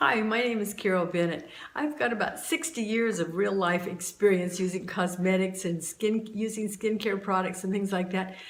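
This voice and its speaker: Over noticeable background noise, a woman with an American accent speaks at a moderate pace with hardly any pauses. Her pitch is medium with ordinary variation. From Southern California. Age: 70s. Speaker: YouTuber sharing beauty tips. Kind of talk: casual tutorial. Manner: hesitant, many fillers.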